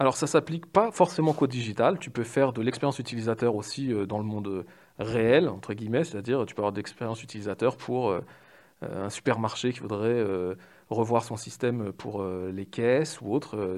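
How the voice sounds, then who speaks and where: On a very clean recording with a silent background, a man with an unremarkable speaking voice talks at a moderate pace in a medium pitch, with ordinary pitch variation and big swings in loudness. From Paris, France. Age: 30s. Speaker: UX/UI designer. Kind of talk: interview.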